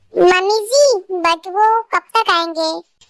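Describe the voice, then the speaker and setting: A woman puts on a squeaky character voice at an extremely high pitch. Her pitch varies in an ordinary way. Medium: fan dub. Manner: soft-spoken, respectful.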